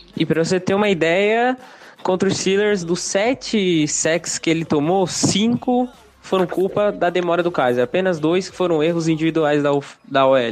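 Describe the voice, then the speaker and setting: The man's voice is pitched high. It rises and falls in an ordinary way. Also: moderate pace, very even loudness. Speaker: NFL fan podcaster. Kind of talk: casual chat.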